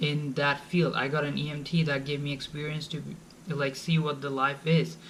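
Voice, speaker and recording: This man talks at a moderate pace with a Bengali accent and a fairly high, somewhat breathy voice. Room echo can be heard. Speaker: college student vlogger. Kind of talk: advice vlog. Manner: casual, informal.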